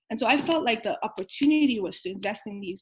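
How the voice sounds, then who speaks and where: A woman's somewhat breathy voice moves at a fairly quick pace with lively intonation. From Nigeria. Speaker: venture capital investor. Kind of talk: interview.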